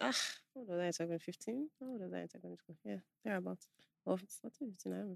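In a dry, close recording with no echo, a woman talks at a very fast pace broken by long, frequent pauses. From Nigeria, Ibadan. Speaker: filmmaker and YouTuber. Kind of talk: casual chat.

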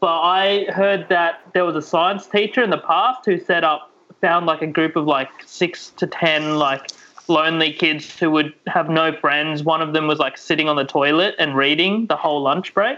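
A man with an Australian accent and a bright, sharp tone speaks at a moderate pace in a fairly high pitch, with ordinary pitch variation and very even loudness. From Sydney, Australia. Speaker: comedian. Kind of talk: casual chat. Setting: video call.

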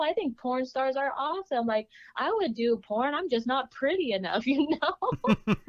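A woman with an American accent, high pitch, very wide pitch swings and a moderate pace. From US West Coast (California and Oregon). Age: 20s. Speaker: adult film actress. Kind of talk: casual interview chat.

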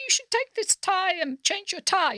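A squeaky, put-on character voice at an extremely high pitch moves at a moderate pace.

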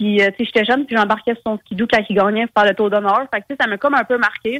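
A woman with a Quebec accent speaks at a fairly quick pace, her pitch fairly high and her intonation fairly even. The sound is dry and close, with no echo. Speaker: snowmobile racer. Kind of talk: interview.

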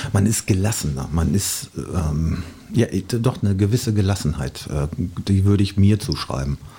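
A man with a normal speaking voice talks at a moderate pace. His pitch is fairly low, with lively intonation. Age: 50s. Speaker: DJ. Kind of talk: casual chat.

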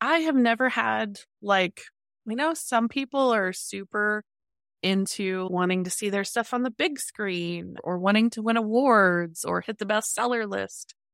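A woman's ordinary speaking voice, fairly high in pitch with ordinary pitch variation, at a fairly slow pace, in a very clean, dry, close recording with a silent background and no echo. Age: 40s. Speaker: science fiction author. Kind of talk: interview.

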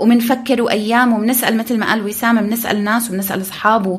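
Fairly even intonation and a moderate speed in a normal speaking voice. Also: woman. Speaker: podcast host. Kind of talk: casual podcast chat.

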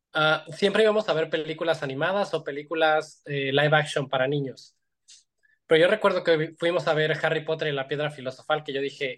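Over a quiet background, a speaker with a Mexican accent talks at a fairly quick pace with fairly even intonation. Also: man. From Mexico, Iguala, Guerrero. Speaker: visual effects animator. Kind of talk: interview.

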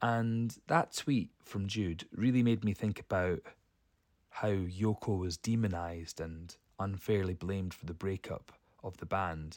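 In a very clean recording with a silent background, a man with a plain, everyday voice speaks fairly slowly at a fairly low pitch with ordinary pitch variation. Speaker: podcast guest. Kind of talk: recorded voice message.

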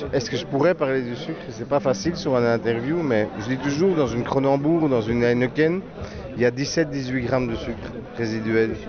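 Noticeable background noise and audible room echo accompany a man speaking at a moderate pace. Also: medium pitch for a man, ordinary pitch variation. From Belgium. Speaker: wine blogger. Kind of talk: casual chat.

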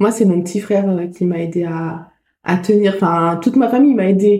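Her pitch moves in an ordinary way. This woman's voice sits at a medium pitch. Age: 20s. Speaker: former cancer patient and volunteer. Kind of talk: testimony. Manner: halting.

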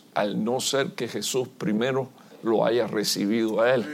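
A man's plain, everyday voice at medium pitch and a fairly slow pace. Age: 60s. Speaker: visiting pastor preaching. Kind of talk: sermon.

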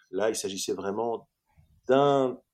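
Here a man talks at a medium pitch. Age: 40s. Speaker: actor. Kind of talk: interview. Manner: halting, many repetitions and hesitations.

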